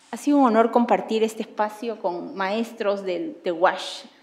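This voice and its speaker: Fairly quick, fairly high-pitched speech from a woman, with music in the background. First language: Spanish. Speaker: panelist. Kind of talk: panel discussion.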